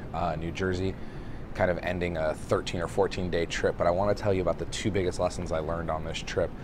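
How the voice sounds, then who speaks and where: The voice is quiet and the pace very fast. Noticeable background noise sits behind it. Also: man. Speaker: restaurant consultant. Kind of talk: casual video monologue. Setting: airport.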